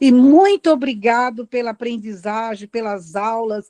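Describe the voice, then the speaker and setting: In a dry, close sound with no echo, a woman speaks at a fairly slow pace with a dark, mellow tone. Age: 70s. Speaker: meeting participant, local resident. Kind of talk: public comment in online meeting.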